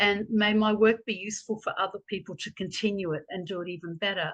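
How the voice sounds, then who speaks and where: A woman with an Australian accent talks at a fairly quick pace over a quiet background. Her voice is fairly high and somewhat breathy. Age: 60s. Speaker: professor and activist. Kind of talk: Q&A answer.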